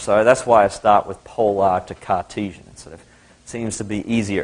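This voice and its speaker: The speaker is a man. His accent is Australian. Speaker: university lecturer. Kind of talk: lecture.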